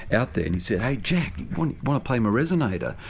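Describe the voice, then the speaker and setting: The man speaks with an Australian accent. His intonation is lively. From Australia, Sydney and rural northwestern New South Wales. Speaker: musician. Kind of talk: interview. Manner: halting, many fillers and repeated words.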